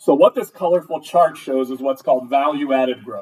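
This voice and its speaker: The male speaker's pitch shows ordinary variation. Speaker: school administrator presenting to school board. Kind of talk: presentation at board meeting. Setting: school board meeting. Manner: fast.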